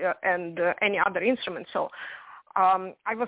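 Dry, close sound with no echo, a fairly quick pace and ordinary pitch variation. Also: woman.

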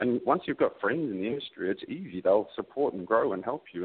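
Words come from a man at a very rapid speed. He has an Australian accent. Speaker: recruiter. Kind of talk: casual interview.

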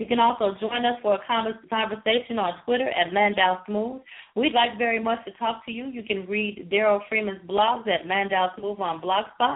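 This woman has an ordinary speaking voice, a fairly high pitch, and an American accent. She keeps a moderate pace with hardly any pauses and fairly even intonation. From Chicago. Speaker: radio co-host. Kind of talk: casual chat. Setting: internet radio show.

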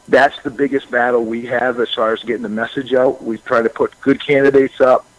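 Speaking at a very fast pace in a monotone, flat delivery, a man with a medium-pitched voice is heard in a dry, close recording with no echo. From rural Maine. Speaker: state legislator. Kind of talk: radio interview. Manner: halting.

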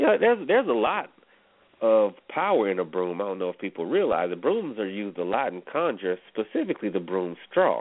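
Fairly low in pitch and with a Southern US accent, a man talks at a fairly quick pace in an animated tone, with very wide pitch swings. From US South. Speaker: radio host. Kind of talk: casual chat.

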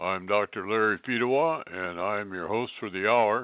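This man has a fairly low pitch and ordinary pitch variation. He talks at a moderate pace. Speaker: radio host. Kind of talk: radio panel discussion. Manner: halting, many fillers.

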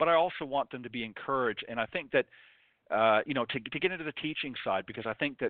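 With an ordinary speaking voice and ordinary pitch variation, a man talks at a fairly quick pace. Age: 50s. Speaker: golf radio show host. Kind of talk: live radio interview.

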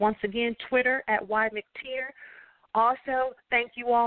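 A woman's animated tone, fairly high pitch, ordinary pitch variation and fairly slow pace. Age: 50s. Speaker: talk radio host. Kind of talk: solo commentary monologue. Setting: internet radio show.

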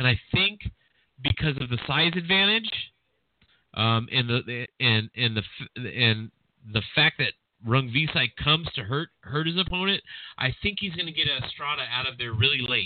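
A man with a plain, everyday voice talks at a moderate pace and medium pitch with lively intonation. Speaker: boxing podcast host. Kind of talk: casual chat. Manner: casual, talkative.

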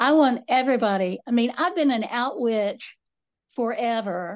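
A woman's fairly high voice in an Appalachian accent, with ordinary pitch variation and a fairly slow pace. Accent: Appalachian Southern US. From US South, western North Carolina. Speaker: author and folklorist. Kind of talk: casual interview chat.

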